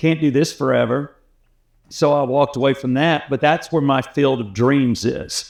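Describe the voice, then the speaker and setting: Speaking at a fairly slow pace with an American accent, this man has a medium pitch, ordinary pitch variation and some vocal fry. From US South, Atlanta. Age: 60s. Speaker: radio host. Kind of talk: casual chat.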